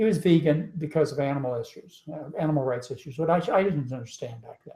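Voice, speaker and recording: Very fast, somewhat breathy speech from a man with a fairly high voice and a dark, mellow tone, ordinary pitch variation and big swings in loudness. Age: 60s. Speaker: physician and diet author. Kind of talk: live webinar interview. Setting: home, live webinar broadcast.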